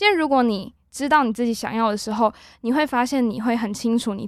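A woman talks at a fairly quick pace in a fairly high pitch, with an unremarkable speaking voice and ordinary pitch variation. The recording is very clean, with a silent background. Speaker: university student podcast host. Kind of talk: casual chat.

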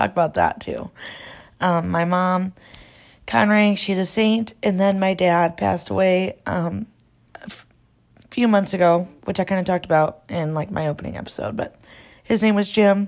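With an American accent, a woman talks at a moderate pace in fairly even intonation, leaving long, frequent pauses. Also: medium pitch for a woman. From Iowa, US Midwest. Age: 20s. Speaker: podcaster. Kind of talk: casual monologue. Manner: conversational, filler-heavy.

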